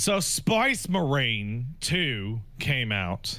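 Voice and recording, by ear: A man's put-on character voice in a Cockney accent, medium in pitch, on a very clean recording with a silent background.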